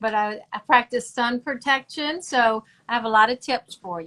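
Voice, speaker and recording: A bright, sharp voice with a Southern US accent moves at a moderate pace with ordinary pitch variation, in a dry, close sound with no echo on a very clean recording with a silent background. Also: woman. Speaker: dermatologist. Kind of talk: live-streamed interview.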